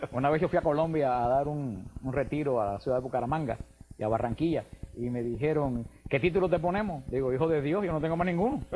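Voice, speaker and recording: A man at a very fast pace, fairly high in pitch, with ordinary pitch variation. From Cuba. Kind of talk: radio/TV call-in interview.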